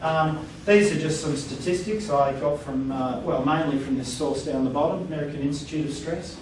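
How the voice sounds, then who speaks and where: With an Australian accent, a man talks at a fairly quick pace in a fairly high pitch with ordinary pitch variation, amid audible room echo and noticeable background noise. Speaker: workplace stress trainer. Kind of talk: training workshop presentation. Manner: conversational.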